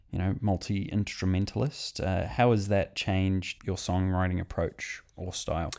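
This man talks at a fairly slow pace in an ordinary speaking voice. His pitch is fairly low. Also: very clean recording, silent background. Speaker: podcast co-host. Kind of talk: casual interview chat.

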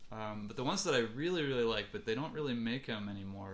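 This man talks very fast with a Midwestern American accent. His pitch is medium and moves in an ordinary way. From US Midwest, Ann Arbor, Michigan. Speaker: musician. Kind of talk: casual chat.

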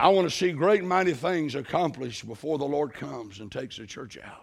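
A man speaks at a moderate pace with vocal fry. The recording is very clean, with a silent background. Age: 60s. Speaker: missionary preacher. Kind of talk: sermon. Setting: church.

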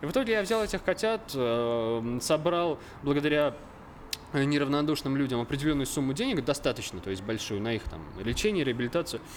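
A man's fairly high voice with very wide pitch swings at a fairly quick pace. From central Russia, Obninsk (Kaluga region). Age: 20s. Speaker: videographer. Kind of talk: casual chat. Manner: halting.

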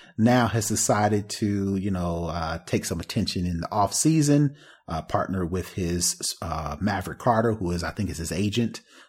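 A man with an unremarkable speaking voice talks at a moderate pace, fairly low in pitch with ordinary pitch variation and hardly any pauses. The recording is very clean, with a silent background. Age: 40s. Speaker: tech podcast host. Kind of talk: casual chat. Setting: live video stream.

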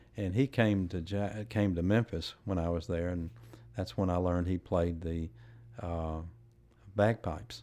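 A man with a Tennessee accent speaks in a very deep, low pitch and a dark, mellow tone. He takes long, frequent pauses. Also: ordinary pitch variation, fairly slow pace, very clean recording, silent background. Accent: Southern US (Tennessee). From West Tennessee, US South. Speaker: former congressman and judge. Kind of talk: interview. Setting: live recording at a venue.

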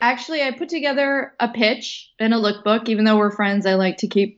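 A woman speaks fairly quickly in a normal speaking voice, her pitch fairly high with ordinary variation. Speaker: actress, writer and director. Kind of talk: casual interview chat.

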